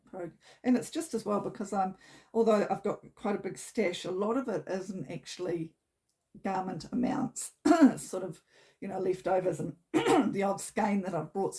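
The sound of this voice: Putting on a character voice, a woman sounds raspy, croaky and hoarse at a medium pitch, with lively intonation and a moderate pace.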